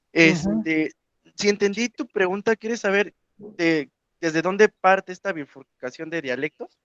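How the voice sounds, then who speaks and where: A man's high-pitched voice with lively intonation and a dry, close sound with no echo. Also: fairly slow pace. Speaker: Nahuatl learner and discussion regular. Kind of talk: online group discussion. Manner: hesitant, many fillers.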